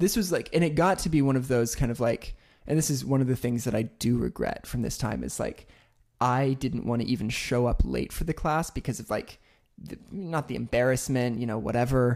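A man with an American accent and a plain, everyday voice speaks at a medium pitch and a fairly quick pace with ordinary pitch variation, on a very clean recording with a silent background. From Oklahoma. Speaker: podcast co-host. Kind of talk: casual chat.

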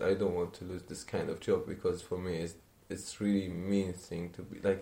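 In an Arabic accent, a man talks at a moderate pace in a fairly low, dark, mellow and somewhat breathy voice. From Syria, Aleppo. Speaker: refugee. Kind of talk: interview testimony.

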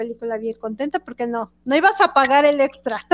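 A woman's high voice with a Mexican accent at a fairly quick pace, dry and close with no echo. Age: 40s. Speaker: podcast co-host. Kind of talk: casual chat.

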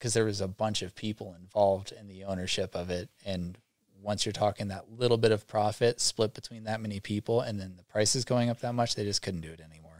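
A man with an American accent and a plain, everyday voice talks at a fairly low pitch with fairly even intonation and big swings in loudness, recorded dry and close with no echo in a very clean recording with a silent background. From US Northeast (New York state and southern Vermont). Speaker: former pro snowboarder, welder. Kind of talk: casual chat. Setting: studio.

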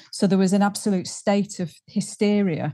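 Over a quiet background, a woman with a Yorkshire accent speaks at a moderate pace in a dark, mellow, somewhat breathy tone with ordinary pitch variation. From Halifax, Yorkshire. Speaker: singer. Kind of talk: casual interview.

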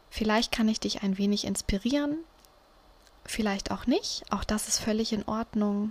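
A woman with a fairly high pitch and ordinary pitch variation at a fairly slow pace, over noticeable background noise. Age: 30s. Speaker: podcast host. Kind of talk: casual monologue. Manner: hesitant, many fillers.

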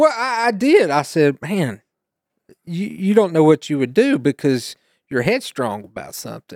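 Here a man with an American accent speaks at a moderate pace and high pitch, with very wide pitch swings and big shifts in loudness. The sound is dry and close with no echo, on a very clean recording with a silent background. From East Tennessee, US. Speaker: guest, youth teacher and churchgoer. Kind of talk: testimony, casual conversation.

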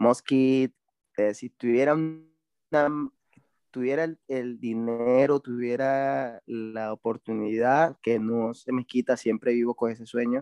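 A man's medium-pitched voice, very slow and fairly even in intonation, with music in the background. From Venezuela. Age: 30s. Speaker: BMX racer. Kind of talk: casual interview.

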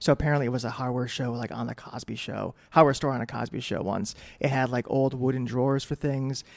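A man talks with an American accent at a medium pitch. His pace is very fast, with hardly any pauses. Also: fairly even intonation. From New England, Connecticut (New Britain). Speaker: newspaper editor. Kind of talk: casual interview.

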